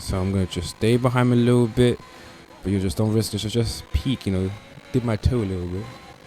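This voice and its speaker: A man rushes along at a very fast pace, his pitch varying in an ordinary way, with noticeable background noise behind him. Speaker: gaming video commentator. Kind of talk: gameplay commentary.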